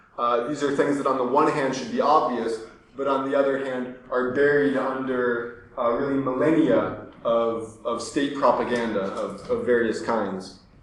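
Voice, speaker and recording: Medium-pitched male speech at a moderate pace with fairly even intonation and hardly any pauses, amid audible room echo and noticeable background noise. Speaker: speaker at a public talk. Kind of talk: public lecture. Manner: hesitant, many fillers.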